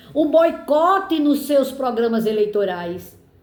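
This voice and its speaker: In a room with audible echo, a woman speaks at a very slow pace with a high pitch and very wide pitch swings. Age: 70s. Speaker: political commentator. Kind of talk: personal monologue.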